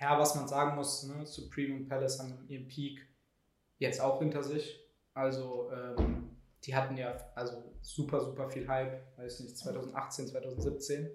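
A man at a medium pitch talks fairly slowly in a somewhat breathy, monotone, flat way. His loudness swings widely, and the room echo is audible. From Germany, Heidelberg. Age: 20s. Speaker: startup employee, content marketer. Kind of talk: casual chat. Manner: halting, many fillers.

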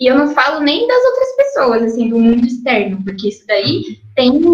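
Noticeable background noise surrounds a woman's voice. She speaks at a high pitch. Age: 20s. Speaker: artist. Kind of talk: casual interview.

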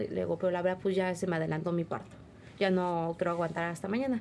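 A woman speaks at a very fast pace. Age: 20s. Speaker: interviewee, young mother. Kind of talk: testimony.

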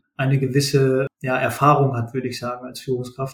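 A man's fairly high, somewhat breathy voice at a fairly quick pace, in a monotone, flat intonation. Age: 30s. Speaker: supply chain manager. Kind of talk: interview.

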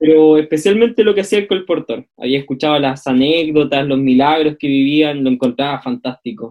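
An unremarkable speaking voice from a man, fairly high in pitch, fairly quick, with ordinary pitch variation and hardly any pauses. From northern Chile, Calama. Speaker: theology student. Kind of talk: casual chat.

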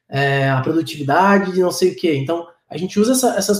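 With ordinary pitch variation, a man talks fairly quickly in a high voice. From Florianópolis, Brazil. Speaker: startup co-founder. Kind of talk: online panel discussion. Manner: halting, many fillers.

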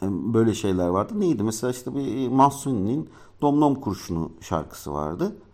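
A man talks at a moderate pace. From Turkey, Ankara. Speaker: podcast host. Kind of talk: casual monologue. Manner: halting, many fillers.

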